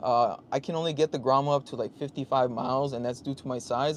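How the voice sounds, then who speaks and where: A man with a plain, everyday voice speaks fairly quickly at a fairly high pitch with fairly even intonation. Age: 30s. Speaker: motorcycle vlogger and livestreamer. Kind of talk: casual livestream chat.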